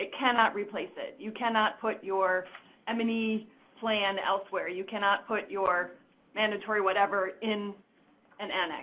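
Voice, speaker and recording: A woman's loud voice, bright and sharp in tone, holds a medium pitch with fairly even intonation. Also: moderate pace. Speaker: government program officer. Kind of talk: stakeholder consultation Q&A.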